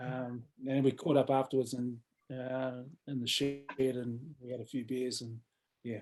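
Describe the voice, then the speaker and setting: A man with a New Zealand accent, medium pitch, and monotone, flat intonation, at a moderate pace with long, frequent pauses and big swings in loudness. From New Zealand, Wellington. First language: Samoan. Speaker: rugby coach. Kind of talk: interview.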